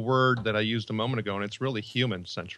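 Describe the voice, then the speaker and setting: The man talks at a medium pitch with a bright, sharp tone and a Chicago accent, against a quiet background. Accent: Chicago-area American. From US Midwest, Northwest Indiana near Chicago. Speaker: leadership and employee engagement author. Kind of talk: podcast interview. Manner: halting, many repetitions and fillers.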